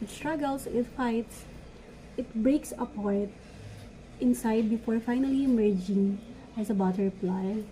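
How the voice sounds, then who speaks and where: A woman with a non-native accent speaks at a fairly slow pace, her pitch fairly high and her intonation fairly even. Background noise is noticeable. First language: not English. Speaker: vlogger, law student. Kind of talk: motivational talk; casual vlog chat. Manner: halting, self-correcting.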